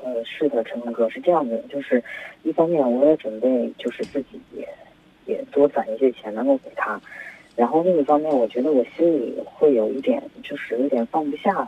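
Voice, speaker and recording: The speech moves at a moderate pace with ordinary pitch variation. Loudness swings widely, and background noise is noticeable. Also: man, fairly high pitch for a man. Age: 20s. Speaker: caller. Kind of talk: phone-in chat. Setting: phone call. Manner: hesitant. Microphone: voice-changed line.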